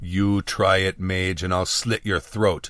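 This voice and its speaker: A put-on character voice growls at a fairly slow pace. Its intonation is monotone and flat. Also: man, very deep, low pitch for a man. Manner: menacing, growling.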